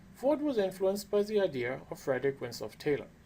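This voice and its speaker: The pace of speech is moderate. A non-native accent comes through. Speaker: professor. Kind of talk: lecture.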